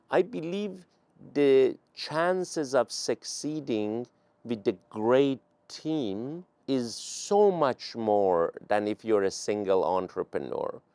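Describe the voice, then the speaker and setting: In a Persian accent, a man speaks at a very slow pace in a medium pitch, his dark, mellow tone swinging very widely in pitch, the sound dry and close with no echo. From Iran, Tehran. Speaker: venture capital investor. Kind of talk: interview.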